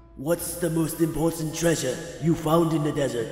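Clear music plays in the background as a man puts on a character voice with a fairly high pitch. He keeps a moderate pace, and a clear echo hangs on his words. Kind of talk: comic dub.

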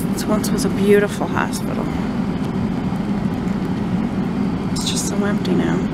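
Loud background noise runs through the clip. The sound is dry with no echo. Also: woman. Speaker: local video host. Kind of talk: casual vlog commentary. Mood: wistful, a little spooky. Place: car. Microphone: phone near.

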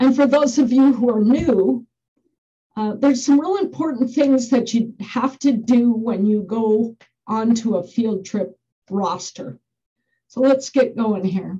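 This woman's voice has a dark, mellow tone and ordinary pitch variation at a fairly slow pace. The background is quiet. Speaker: school bus driver trainer. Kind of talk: lecture. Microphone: webcam.

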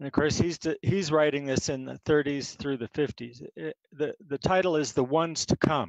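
Over a quiet background, a man talks at a moderate pace with a fairly high pitch. The sound is dry, with no echo. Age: 60s. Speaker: poet. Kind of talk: poetry reading and chat. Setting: video call. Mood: relaxed, reflective. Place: home room. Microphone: headset.

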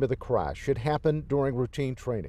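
A man's voice with vocal fry, in a dry sound with no echo. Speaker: TV news reporter. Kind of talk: live news report. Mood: somber, sympathetic. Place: street. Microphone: handheld.

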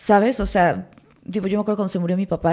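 A woman with a dark, mellow tone speaks with fairly even intonation in a quiet setting. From Mexico City and Morelos; Mexico City, Mexico. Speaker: actress. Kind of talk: casual chat. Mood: reflective, personal. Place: studio. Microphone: studio mic.

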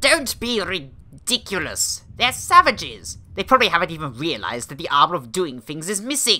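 A female-sounding voice puts on a pompous character voice at middle pitch. It runs on with hardly any pauses. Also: moderate pace. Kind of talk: comic overacting. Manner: pompous, bossy, indignant.

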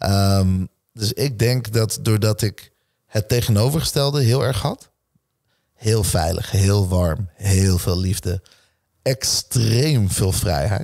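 A man's dark, mellow tone at a fairly low pitch, with ordinary pitch variation, a very slow pace and a quiet background. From Netherlands, Nieuwegein/Utrecht area; Netherlands. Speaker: entrepreneur and speaker; speaker. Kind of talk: casual interview chat. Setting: gym. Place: home room. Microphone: studio mic.

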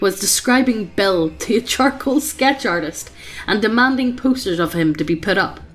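The speaker is reading aloud in a natural voice, with lively intonation.

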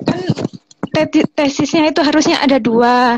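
A woman's high-pitched voice at a moderate pace, dry with no echo. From East Java. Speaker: mother seeking aid. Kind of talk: emotional call-in appeal. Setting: video call. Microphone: video call.

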